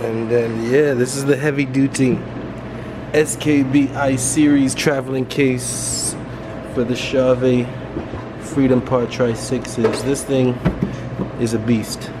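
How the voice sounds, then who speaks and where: Noticeable background noise behind a man speaking at a very slow pace, with long, frequent pauses. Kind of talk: casual vlog chat. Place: hall. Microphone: phone near.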